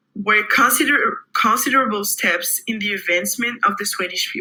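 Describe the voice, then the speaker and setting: With a non-native accent, someone talks at a moderate speed. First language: not English. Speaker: student presenter. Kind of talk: class presentation. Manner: halting.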